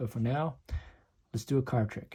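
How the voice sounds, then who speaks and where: A man with a somewhat breathy voice and fairly even intonation speaks at a fairly quick pace, recorded very cleanly over a silent background. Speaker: magic tutorial youtuber. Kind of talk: tutorial. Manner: casual, friendly.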